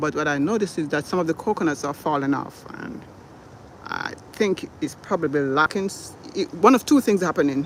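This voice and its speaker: A man talks at a moderate pace with ordinary pitch variation. Noticeable background noise can be heard. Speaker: gardening channel host. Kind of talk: live stream garden tour. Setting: outdoors in garden.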